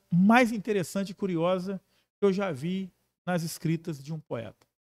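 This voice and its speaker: On a very clean recording with a silent background and a dry, close sound with no echo, a man speaks at a moderate pace with a high pitch. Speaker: podcast host. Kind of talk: podcast interview talk.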